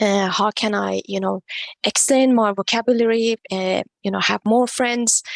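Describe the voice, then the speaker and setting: A woman talks at a moderate pace in a Persian accent. The sound is dry and close, with no echo. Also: fairly even intonation. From Iran. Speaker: non-profit co-founder, tech professional. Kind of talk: podcast interview.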